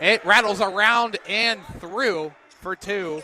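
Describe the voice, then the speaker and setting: In a dry, close sound with no echo, a man with a high pitch speaks in a raised, projected voice. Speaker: radio play-by-play announcer. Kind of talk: live sports radio play-by-play.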